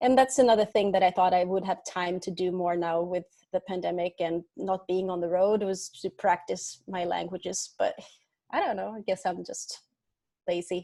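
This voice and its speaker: At a moderate pace, a woman with a Swedish accent speaks at a medium pitch with fairly even intonation. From Sweden. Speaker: singer-songwriter. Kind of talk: interview.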